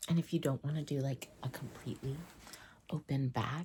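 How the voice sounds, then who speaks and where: The whispering moves along at a fairly slow pace. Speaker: tailor and stylist (roleplay). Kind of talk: ASMR roleplay, wedding tailor fitting. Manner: soft-spoken, whispered.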